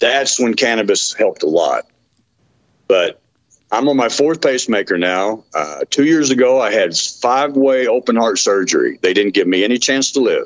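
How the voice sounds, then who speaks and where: A man speaks with a Texan accent. His loudness stays very even. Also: moderate pace. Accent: Texan Southern US. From Texas, Dallas. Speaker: medical cannabis patient. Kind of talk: interview testimony. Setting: remote call.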